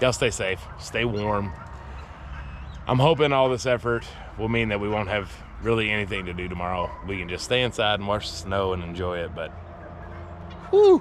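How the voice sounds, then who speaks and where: Noticeable background noise runs under the clip. A man talks at a fairly quick pace. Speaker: homesteader vlogger. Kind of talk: vlog narration. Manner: fast.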